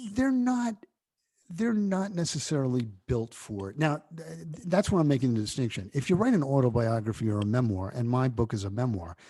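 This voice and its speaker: A man with a New York accent speaks at medium pitch in a dark, mellow tone, with very wide pitch swings. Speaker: TV network founder and author. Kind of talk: interview.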